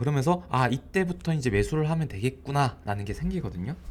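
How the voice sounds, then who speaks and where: A man talks in a somewhat breathy voice with very wide pitch swings. The recording is very clean, with a silent background. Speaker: stock market commentator. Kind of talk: market commentary video. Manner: casual, filler-heavy.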